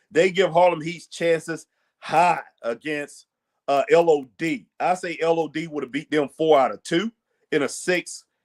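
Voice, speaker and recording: Speaking at a fairly slow pace in a dry, close sound with no echo, a man has a fairly high pitch, ordinary pitch variation and an unremarkable speaking voice. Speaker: wrestling show host. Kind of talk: casual live stream commentary.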